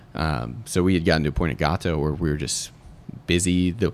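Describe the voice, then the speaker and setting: Very deep, low male voice with vocal fry and ordinary pitch variation, at a fairly quick pace, in a very clean recording with a silent background. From Atlanta, Georgia. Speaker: chef. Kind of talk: casual chat. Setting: bar.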